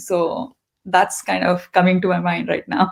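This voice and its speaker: A woman's fairly slow, medium-pitched voice with vocal fry, on a very clean recording against a silent background. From India, grew up in eastern India. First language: Hindi and Telugu. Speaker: tech leader. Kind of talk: interview.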